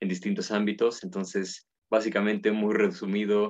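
This man's voice is fairly low. He talks at a moderate pace. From Mexico, Puebla. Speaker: philosophy researcher and professor. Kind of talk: casual interview.

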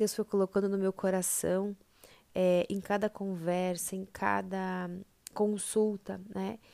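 A woman's dark, mellow voice, very slow and monotone with flat intonation, in a dry, close sound with no echo. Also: medium pitch for a woman. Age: 30s. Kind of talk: inspirational monologue.

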